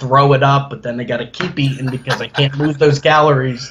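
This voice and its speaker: Against noticeable background noise, a man with an American accent speaks at a medium pitch. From New Jersey. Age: 30s. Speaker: amateur bodybuilder. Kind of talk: interview.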